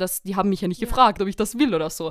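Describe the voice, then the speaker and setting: This woman's voice sits at a medium pitch. She speaks with lively intonation. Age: 20s. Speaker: psychology graduate and family support worker. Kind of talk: interview on psychology topic.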